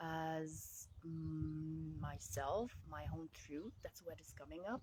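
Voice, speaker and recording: A woman with a Quebec accent speaks in a very deep, low pitch with a dark, mellow tone. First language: French. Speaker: life coach. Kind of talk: casual vlog monologue. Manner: halting, many fillers.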